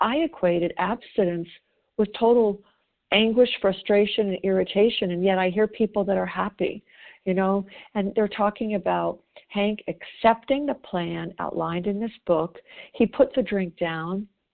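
A woman with an American accent has an unremarkable speaking voice at a medium pitch. She talks at a moderate pace with ordinary pitch variation. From US South. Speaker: twelve-step group member. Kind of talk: reading aloud. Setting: phone call.

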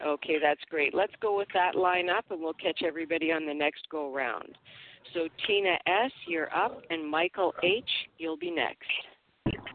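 This is an unremarkable speaking voice with a Canadian accent. It moves at a fairly slow pace with ordinary pitch variation. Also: woman, fairly low pitch for a woman. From Canada. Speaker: twelve-step meeting leader. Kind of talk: meeting facilitation. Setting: phone call.

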